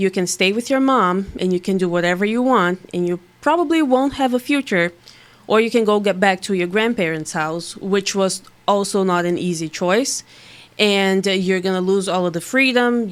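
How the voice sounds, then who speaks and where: A woman's medium-pitched voice with a Portuguese accent, at a moderate pace. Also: ordinary pitch variation. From Brazil. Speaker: bikini bodybuilding competitor. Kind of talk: podcast interview answer.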